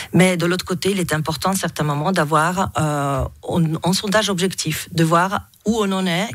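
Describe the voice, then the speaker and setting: A woman speaks at a moderate pace in a fairly low pitch, with ordinary pitch variation. The background is quiet. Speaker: guest. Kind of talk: interview answer. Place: studio. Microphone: studio mic.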